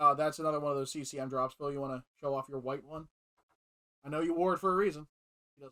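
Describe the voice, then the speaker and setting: A man's fairly high, bright and sharp voice at a very fast pace, broken by long, frequent pauses, in a dry, close sound without echo. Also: fairly even intonation, big swings in loudness. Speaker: hockey jersey collector. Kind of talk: casual chat. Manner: loud.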